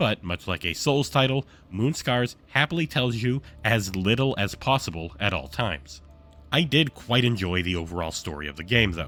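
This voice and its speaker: The voice moves in very wide pitch swings with music in the background. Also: man, fairly low pitch for a man, moderate pace. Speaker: game reviewer. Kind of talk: video game review narration.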